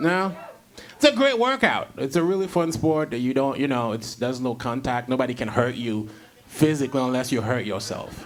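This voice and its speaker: A man with a medium pitch and ordinary pitch variation talks fairly quickly as noticeable background noise plays behind him. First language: not English (English is third language). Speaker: comedian and podcast host. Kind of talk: casual chat.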